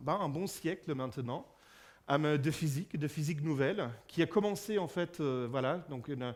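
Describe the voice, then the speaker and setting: With a German accent, a man speaks at a fairly slow pace and a fairly high pitch. The recording is very clean, with a silent background. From Germany. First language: German (speaking French). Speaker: physicist giving a public lecture. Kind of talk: public lecture. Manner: halting, many fillers and repetitions.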